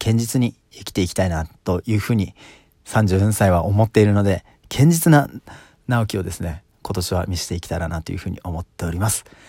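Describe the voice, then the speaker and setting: The voice is calm, with ordinary pitch variation. The recording is very clean with a silent background, and the sound is dry and close with no echo. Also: man. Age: 30s. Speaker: solo podcaster. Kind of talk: casual solo monologue. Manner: many filler words like um.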